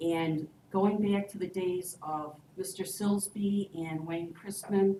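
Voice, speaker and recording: Fairly even intonation comes through over audible room echo and noticeable background noise. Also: woman. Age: 60s. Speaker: resident addressing city council. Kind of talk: public comment at council meeting.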